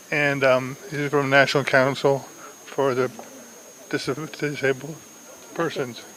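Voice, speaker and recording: A man's fairly high-pitched, monotone, flat voice at a fairly slow pace, with long, frequent pauses and noticeable background noise. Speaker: support group chair. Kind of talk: speech at public event. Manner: halting.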